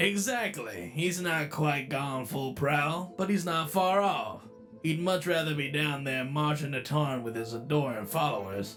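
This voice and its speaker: A man's put-on character voice, fairly high in pitch and at a moderate pace, over clear background music. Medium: dub. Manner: casual, wry.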